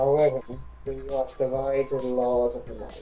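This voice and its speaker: Over clear music in the background, a man uses a put-on character voice at a medium pitch and a moderate pace. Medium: read story. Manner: formal, grandiose.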